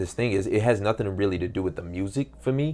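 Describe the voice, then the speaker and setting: Somewhat breathy and fairly low in pitch, a man speaks with an American accent and ordinary pitch variation. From US Midwest, Detroit. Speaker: professional MMA fighter. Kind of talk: casual interview chat. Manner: laid-back.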